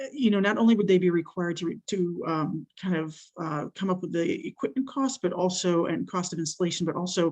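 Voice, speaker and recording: This woman's voice sits at a medium pitch with ordinary pitch variation. She talks at a fairly quick pace. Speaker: industry association representative. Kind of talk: public comment. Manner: fast.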